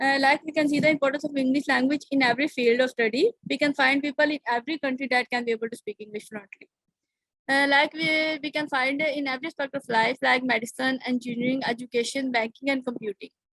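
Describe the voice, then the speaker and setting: A woman with a Pakistani accent talks very fast in a high, fairly even voice. The sound is dry and close, with no echo. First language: Urdu. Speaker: conference presenter. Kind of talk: academic presentation. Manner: halting.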